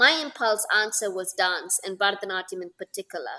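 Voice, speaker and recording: A woman with a Tamil accent speaks in a bright, sharp tone. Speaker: Bharatanatyam dancer. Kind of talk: casual interview chat.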